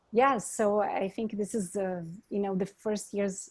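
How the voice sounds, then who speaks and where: Somewhat breathy and at a medium pitch, a woman speaks with a strong Brazilian accent. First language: Portuguese. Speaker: architect. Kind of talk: panel discussion.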